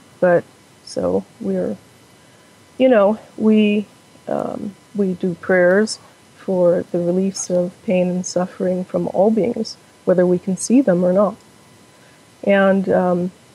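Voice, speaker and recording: A woman at a medium pitch talks very slowly and fairly evenly, with long, frequent pauses over noticeable background noise. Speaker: Buddhist practitioner. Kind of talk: interview answer.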